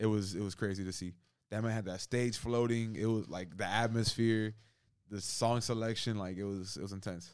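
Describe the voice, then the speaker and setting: Recorded very cleanly against a silent background, a man with an ordinary speaking voice talks at a moderate pace, fairly low in pitch and with fairly even intonation. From Cuban-American. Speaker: podcast co-host. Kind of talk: casual chat.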